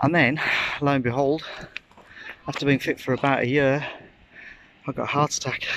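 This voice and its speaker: With light background noise and a dry sound with no echo, a man speaks at a fairly quick pace in a monotone, flat voice broken by long, frequent pauses. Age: 50s. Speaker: vlogger. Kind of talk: casual vlog monologue. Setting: outdoors. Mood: candid, personal. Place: beach. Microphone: phone near.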